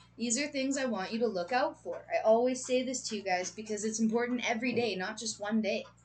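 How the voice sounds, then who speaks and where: A woman at a very fast pace with hardly any pauses, ordinary pitch variation, and noticeable background noise. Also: fairly high pitch for a woman. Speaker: tarot reader. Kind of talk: collective tarot reading. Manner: animated.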